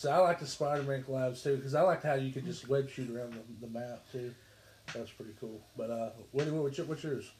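A somewhat breathy male voice at a fairly quick pace, with ordinary pitch variation. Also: medium pitch for a man, big swings in loudness. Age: 30s. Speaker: gaming podcast host. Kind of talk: casual chat.

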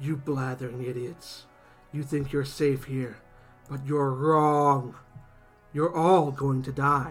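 Putting on a character voice with a fairly high pitch, a man talks at a fairly slow pace with long, frequent pauses as faint music plays in the background. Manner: dark, menacing, calm monotone.

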